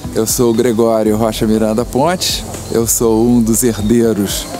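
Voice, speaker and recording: A man talks with fairly even intonation. Background music can be heard behind him. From Brazil, Petrópolis (Rio de Janeiro state). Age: 70s. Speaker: heir of a historic house, garden guide. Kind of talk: interview, guided tour. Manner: halting, many fillers and repetitions.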